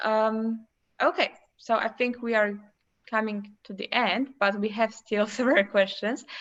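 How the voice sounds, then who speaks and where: This woman has a Polish accent and a fairly high pitch. She talks at a fairly slow pace with fairly even intonation against a quiet background. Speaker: education agency host. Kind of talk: live Q&A moderation.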